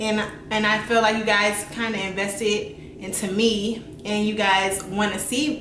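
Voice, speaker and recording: Light background noise and audible room echo surround the recording. A woman speaks at a fairly slow pace. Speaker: beauty vlogger. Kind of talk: casual vlog chat. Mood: reflective, slightly apologetic. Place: home room. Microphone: camera far.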